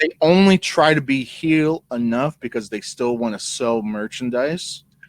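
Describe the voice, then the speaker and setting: A man with an unremarkable speaking voice talks at a fairly slow pace with a medium pitch and ordinary pitch variation. The sound is dry and close, with no echo. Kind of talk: casual podcast conversation.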